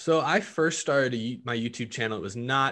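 Against a quiet background, a man with a normal speaking voice talks at a fairly quick pace, using a medium pitch and ordinary pitch variation. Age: 20s. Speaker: YouTuber and podcast network founder. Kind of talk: interview.

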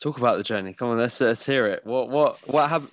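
Against a quiet background, a man talks fairly quickly in a normal speaking voice of medium pitch with fairly even intonation. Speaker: podcast host. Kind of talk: casual chat.

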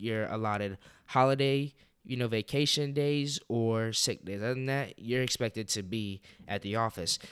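On a very clean recording with a silent background, a man with a normal speaking voice talks at medium pitch with fairly even intonation. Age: 20s. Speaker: podcast host. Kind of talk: casual monologue.

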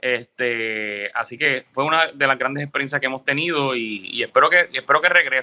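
A man talks at a fairly quick pace with hardly any pauses. His voice sits at a medium pitch with a bright, sharp tone. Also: ordinary pitch variation, dry, close sound with no echo. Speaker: radio and TV producer. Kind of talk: interview.

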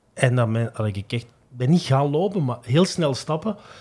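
Somewhat breathy, a man speaks in a medium pitch with a dark, mellow tone and lively intonation. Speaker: sports journalist. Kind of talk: casual chat.

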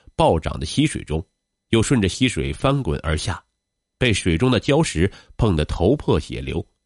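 A man with a fairly low pitch speaks in a dramatic tone at a moderate pace, his pitch swinging very widely. The background is quiet and the sound is dry and close, with no echo. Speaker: narrator of a podcast. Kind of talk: true-crime style narration. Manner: measured, dramatic storytelling pace; formal, steady, polished.

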